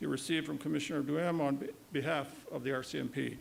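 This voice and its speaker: Speaking very fast with a Canadian accent, a man with a fairly high pitch and vocal fry keeps his intonation fairly even. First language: Woodland Cree. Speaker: provincial vice-regal representative, retired police officer. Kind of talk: ceremonial speech. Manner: formal.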